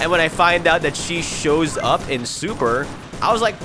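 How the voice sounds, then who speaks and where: Noticeable background noise sits behind a man speaking at a moderate pace. He sounds animated. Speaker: anime reviewer. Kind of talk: unscripted video review. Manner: halting, self-described stuttering; casual, animated.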